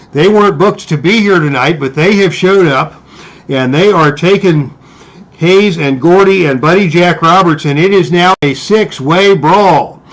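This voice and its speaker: Moderately paced speech with noticeable background noise. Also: man, high pitch for a man, ordinary pitch variation. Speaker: tabletop wrestling game replay commentator. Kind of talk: play-by-play wrestling commentary. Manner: excited.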